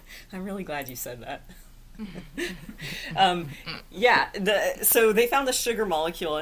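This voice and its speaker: A woman with a Texan accent, medium pitch, very wide pitch swings, big swings in loudness, moderate pace, and long, frequent pauses, over noticeable background noise. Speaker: science explainer.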